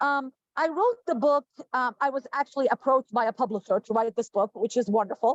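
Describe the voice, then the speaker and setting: A woman with an Arabic accent, fairly quick in pace, with ordinary pitch variation. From Jordan. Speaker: professor and author. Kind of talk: panel discussion.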